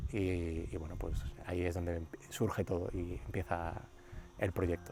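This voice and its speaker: Spoken at a fairly slow pace with a Madrid accent, the voice shows ordinary pitch variation. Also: man, very deep, low pitch for a man. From Madrid, Spain. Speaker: winery founder and oncologist. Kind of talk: casual interview. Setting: outdoors in a vineyard.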